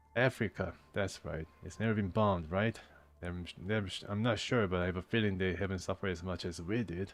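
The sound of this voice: This is an unforced reading voice. It reads the lines out.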